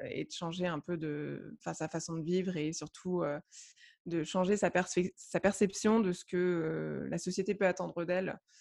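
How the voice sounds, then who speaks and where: A woman's fairly low, dark and mellow voice, fairly slow and fairly even in intonation, on a very clean recording with a silent background. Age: 30s. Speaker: novelist and blogger. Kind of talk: casual interview chat. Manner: halting, many fillers and repetitions.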